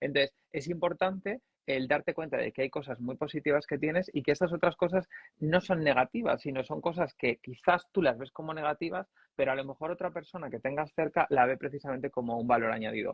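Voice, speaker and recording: Somewhat breathy and fairly high in pitch, a man speaks at a fairly quick pace with ordinary pitch variation. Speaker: journalist and communication coach. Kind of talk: casual chat. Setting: live stream.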